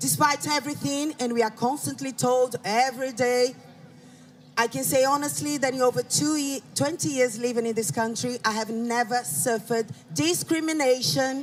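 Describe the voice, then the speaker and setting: The speaker has a Brazilian accent and a moderate pace. Noticeable background noise runs underneath. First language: Portuguese. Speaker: rally speaker. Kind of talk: public speech.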